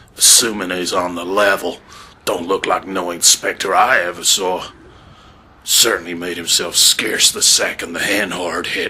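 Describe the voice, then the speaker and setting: Putting on a character voice, a man speaks at a moderate pace with a raspy, very deep, low pitch. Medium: audio drama. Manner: folksy western drawl.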